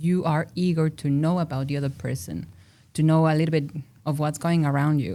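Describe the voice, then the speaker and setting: Recorded very cleanly against a silent background, a woman with a very deep, low pitch and a dark, mellow tone speaks at a moderate pace. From Mexico City. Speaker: industrial designer and researcher. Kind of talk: podcast interview. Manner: loud, animated.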